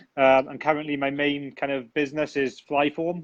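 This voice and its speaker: In a British accent, a man speaks at a medium pitch and a moderate pace over a quiet background. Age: 30s. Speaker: tech company founder. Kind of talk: interview.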